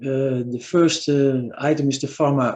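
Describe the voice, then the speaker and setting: Here a man speaks with a Dutch accent. His pace is very slow. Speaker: physician and university lecturer. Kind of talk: webinar presentation. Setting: video call. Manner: halting.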